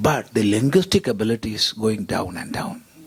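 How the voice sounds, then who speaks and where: A man with a Keralan accent, somewhat breathy, at a moderate pace with very wide pitch swings. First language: Malayalam. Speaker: panelist, monastic scholar. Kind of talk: panel discussion.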